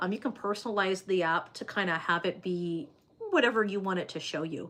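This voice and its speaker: A woman talks at a fairly quick pace and a medium pitch, with ordinary pitch variation. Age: 30s. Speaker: livestreamer reading viewer comments. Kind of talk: casual livestream chat. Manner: hesitant, many fillers.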